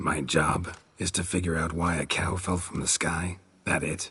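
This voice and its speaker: Putting on a character voice, a man speaks in a very deep, low, raspy register at a moderate pace, deadpan and monotone with flat intonation. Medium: video game. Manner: terse, clipped, deadpan.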